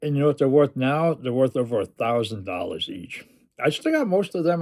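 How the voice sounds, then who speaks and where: An ordinary speaking voice, a man's fairly high pitch, lively intonation and a fairly quick pace on a very clean recording with a silent background. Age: 60s. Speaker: comic book collector. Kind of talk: casual chat.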